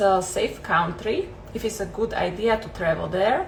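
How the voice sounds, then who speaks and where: A woman's fairly high voice in a Slovak accent, with ordinary pitch variation and noticeable background noise. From Slovakia. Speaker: travel vlogger. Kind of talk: casual Q&A vlog. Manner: hesitant, many fillers.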